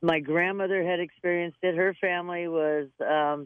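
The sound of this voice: A woman talks at a low pitch with fairly even intonation. The sound is dry and close, with no echo.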